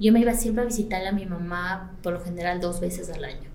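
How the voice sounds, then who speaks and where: Speaking in a highland Ecuadorian accent at a fairly quick pace, a woman has a fairly low pitch and ordinary pitch variation, with noticeable background noise and audible room echo. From Ecuador, Latacunga (highlands). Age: 40s. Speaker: salon and spa owner. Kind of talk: interview.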